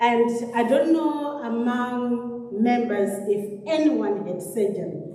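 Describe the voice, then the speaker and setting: A woman speaks at a high pitch with ordinary pitch variation. The room echo is audible and background noise is noticeable. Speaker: theatre nurse. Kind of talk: health talk to congregation. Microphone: speaking without a microphone.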